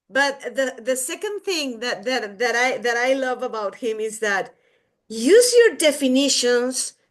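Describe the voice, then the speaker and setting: In a Mexican accent, a woman speaks at a high pitch and a fairly slow pace. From Mexico. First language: Spanish. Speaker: podcast co-host. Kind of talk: casual chat.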